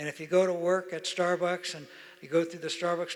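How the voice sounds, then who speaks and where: Speech pours out at a very fast pace. The accent is American. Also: man. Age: 80s+. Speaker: retired business executive. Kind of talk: interview on stage. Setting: stage with audience.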